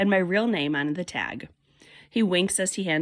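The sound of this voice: The pitch varies in an ordinary way throughout this unforced reading voice.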